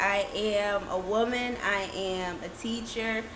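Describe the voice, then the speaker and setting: Audible room echo and noticeable background noise accompany a woman speaking with an American accent. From New Jersey. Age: 20s. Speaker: teacher. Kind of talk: casual chat.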